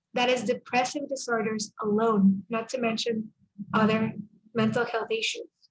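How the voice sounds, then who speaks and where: At a moderate pace, a woman with a fairly high pitch speaks in a somewhat breathy monotone with flat intonation. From El Salvador. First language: Spanish. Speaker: speaker at a church mental health summit. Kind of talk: testimony and presentation.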